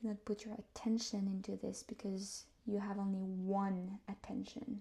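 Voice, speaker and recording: Somewhat breathy and dark, mellow in tone, a woman talks at a moderate pace with monotone, flat intonation. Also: medium pitch for a woman. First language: not English. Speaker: tarot reader. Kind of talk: guided meditation. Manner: soft-spoken; halting.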